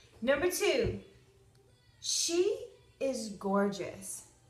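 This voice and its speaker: There is audible room echo. The speaker is a woman. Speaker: makeup vlogger. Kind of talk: casual tutorial chat. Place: home room. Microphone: phone near.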